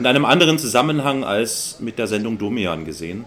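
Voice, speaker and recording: A man talks over noticeable background noise. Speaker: podcast co-host. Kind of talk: casual chat. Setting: home study.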